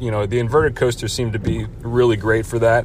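A man's flat, monotone speech over noticeable background noise. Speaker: listener submitting a response. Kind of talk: listener question response.

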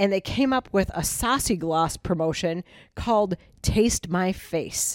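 A woman's ordinary speaking voice, medium in pitch with ordinary pitch variation, at a fairly slow pace, in a very clean, dry, close recording with no echo and a silent background. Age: 50s. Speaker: podcast co-host, marketer. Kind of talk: casual chat.

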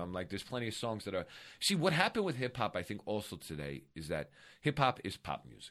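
A man's voice at a very fast pace, bright and sharp in tone with vocal fry, very wide pitch swings and big swings in loudness. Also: very clean recording, silent background. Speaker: comedian and actor. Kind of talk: casual chat. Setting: studio.

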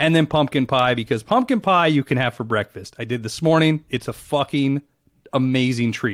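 At a fairly quick pace, a man speaks at a medium pitch in an unremarkable speaking voice. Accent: American. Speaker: podcast co-host, interviewer. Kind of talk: casual chat, crude banter.

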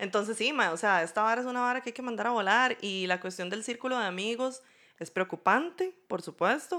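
A woman's bright, sharp voice, fairly high in pitch, moves at a fairly quick pace with lively intonation in a very clean recording with a silent background. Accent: Costa Rican. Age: 30s. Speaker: podcast co-host. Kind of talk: casual chat.

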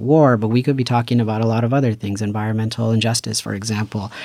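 A man's medium-pitched, normal speaking voice at a fairly quick pace, with an American accent. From Paramount, Los Angeles. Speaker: PhD student in urban planning. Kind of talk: casual chat.

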